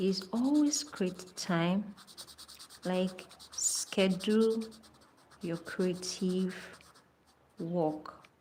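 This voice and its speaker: A woman with a non-native accent speaks at medium pitch in a dark, mellow, somewhat breathy tone with fairly even intonation. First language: not English. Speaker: artist and art channel host. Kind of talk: casual chat while painting on a livestream. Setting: live stream.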